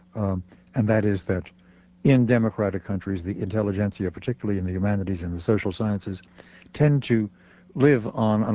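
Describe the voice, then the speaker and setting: At a fairly quick pace, a man speaks in a fairly low pitch with ordinary pitch variation and an unremarkable speaking voice. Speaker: radio talk show host. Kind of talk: radio interview. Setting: studio.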